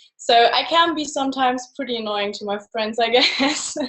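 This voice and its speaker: A woman speaks with a German accent. Her pace is moderate and her pitch variation ordinary. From Germany. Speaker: photographer. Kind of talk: presentation.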